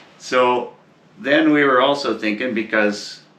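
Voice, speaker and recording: At a very slow pace, a man speaks in a medium pitch with ordinary pitch variation, amid audible room echo and noticeable background noise. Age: 50s. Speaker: motorcycle traveller. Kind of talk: casual chat.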